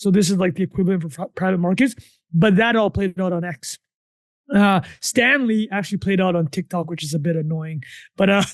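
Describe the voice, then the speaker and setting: Speaking at a high pitch with ordinary pitch variation, a man sounds animated. The sound is dry and close with no echo, and the background is quiet. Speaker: podcast co-host. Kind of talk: casual chat. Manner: fast, animated; loud.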